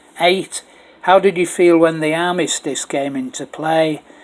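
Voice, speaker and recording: Noticeable background noise runs under this recording. A man speaks at a fairly high pitch and a fairly slow pace. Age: 70s. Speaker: oral history narrator. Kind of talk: oral history recording, partly read aloud. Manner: hesitant, with frequent fillers.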